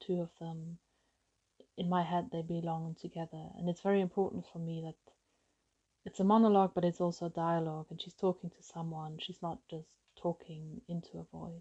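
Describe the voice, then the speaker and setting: Somewhat breathy, a woman speaks at a moderate pace in a fairly low pitch with a dark, mellow tone. Her loudness swings widely, and the sound is dry and close with no echo. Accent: German. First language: German. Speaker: novelist. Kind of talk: author talking about her book.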